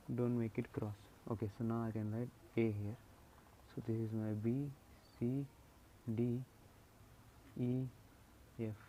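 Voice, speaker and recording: A man with an Indian accent speaks at a fairly slow pace and a medium pitch, with long, frequent pauses. His tone is dark and mellow, his intonation monotone and flat. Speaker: engineering drawing tutor. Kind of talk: tutorial.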